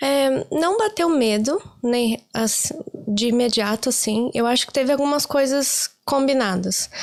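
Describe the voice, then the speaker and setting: Speaking at a fairly slow pace, a woman with a Brazilian accent uses lively intonation at a high pitch, her loudness very even throughout. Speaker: career-change interviewee, office worker in Ireland. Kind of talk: casual interview chat.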